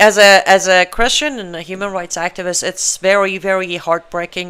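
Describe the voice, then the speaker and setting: A woman with a medium-pitched voice speaks at a moderate rate. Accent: Iranian. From Iran. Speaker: political talk show host, human rights activist. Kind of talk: live online talk show monologue. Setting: live stream studio. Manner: animated, conversational; halting, with fillers.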